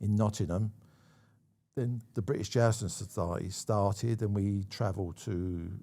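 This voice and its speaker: Speaking with a London accent at a moderate pace, a man keeps a fairly low pitch, a dark, mellow tone and fairly even intonation. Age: 70s. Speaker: stunt coordinator. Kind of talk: casual chat. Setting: studio.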